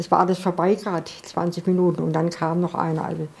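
At a moderate pace, a woman speaks in a somewhat breathy voice of fairly low pitch with a dark, mellow tone. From Freiburg, southern Baden, Germany. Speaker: World War II eyewitness. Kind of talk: interview answer. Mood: earnest, recalling painful memories. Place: home room.

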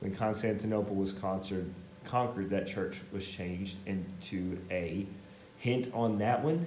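The pace is fairly slow. Light background noise and audible room echo can be heard. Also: man. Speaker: teacher. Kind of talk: lecture. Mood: playful, joking. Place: classroom. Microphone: camera far.

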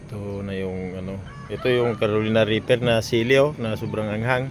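Noticeable background noise sits behind a man talking at a moderate pace. His pitch is fairly low. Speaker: farmer vlogger. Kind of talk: casual vlog narration. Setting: outdoors on farm.

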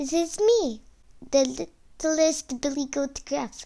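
In a put-on character voice, a woman with a high pitch speaks at a very slow pace.

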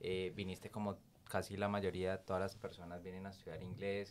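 Speaking at a fairly quick pace, a man uses a fairly low pitch. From Colombia, Cali. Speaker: podcast host. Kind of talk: interview conversation. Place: meeting room. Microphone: studio mic.

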